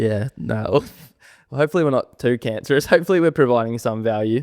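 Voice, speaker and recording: A man with an Australian accent at a very fast pace, ordinary pitch variation, a dry, close sound with no echo, and a very clean recording over a silent background. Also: medium pitch for a man. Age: 20s. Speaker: podcast co-host. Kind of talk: casual chat.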